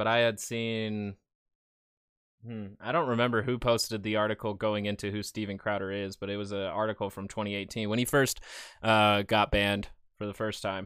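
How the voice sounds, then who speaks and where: Heard in a very clean recording with a silent background, a man talks at a moderate pace in a fairly low pitch, his tone bright and sharp and his intonation fairly even. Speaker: news commentator. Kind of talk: news-style commentary and reaction to clips. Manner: sarcastic, filler-heavy.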